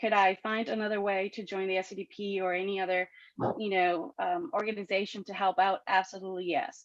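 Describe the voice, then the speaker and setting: Fairly quick speech with a Spanish accent in a dry, close sound with no echo. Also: woman, medium pitch for a woman. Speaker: political candidate. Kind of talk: campaign speech at a party meeting. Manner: animated, with frequent fillers and repetitions.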